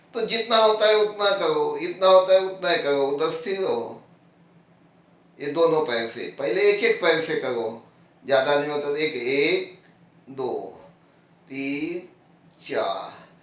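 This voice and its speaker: High-pitched for a man, this voice leaves long, frequent pauses. Audible room echo and noticeable background noise come through. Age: 70s. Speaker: yoga teacher. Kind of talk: tutorial. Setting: at home, on his bed. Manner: casual, conversational.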